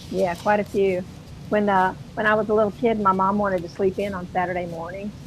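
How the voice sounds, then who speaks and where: A woman with a Southern US accent talks fairly quickly in a monotone, flat intonation at a medium pitch. Noticeable background noise runs underneath. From US South, North Florida near Georgia. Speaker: mixed media artist, YouTuber. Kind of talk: casual chat. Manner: soft-spoken.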